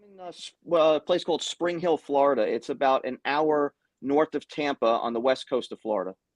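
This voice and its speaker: A man in a New York accent speaks at a fairly quick pace with a fairly high pitch, ordinary pitch variation and big swings in loudness, recorded dry and close with no echo against a quiet background. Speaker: guitar tech and hobbyist. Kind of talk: casual chat.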